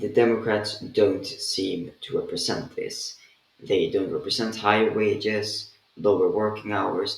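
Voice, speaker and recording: A man talks with a Swedish accent. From Sweden. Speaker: political commentator. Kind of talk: rant. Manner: casual, with fillers.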